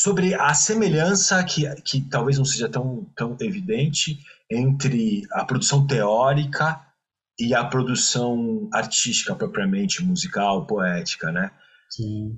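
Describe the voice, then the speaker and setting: A man with a fairly high, somewhat breathy voice talks at a very slow pace, his pitch swinging very widely. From Brazil, Santos (São Paulo coast). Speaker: musician and musicologist. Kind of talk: casual interview chat.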